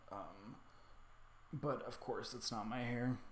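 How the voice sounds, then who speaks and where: Audible room echo surrounds the voice. A man speaks at medium pitch with ordinary pitch variation. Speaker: hobby photographer streaming his editing. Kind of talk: casual livestream tutorial. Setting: livestream from laptop. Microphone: stream quality reported bad.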